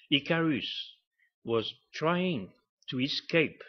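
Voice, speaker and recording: A man with a French accent, lively intonation and a very slow pace. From Morocco, then France. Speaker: artist. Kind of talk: presentation talk.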